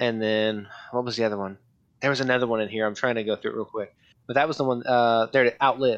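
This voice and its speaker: A man talks at a very fast pace in an American accent. His intonation is monotone and flat. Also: medium pitch for a man. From US Southwest. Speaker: nurse. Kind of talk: casual chat. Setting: remote call.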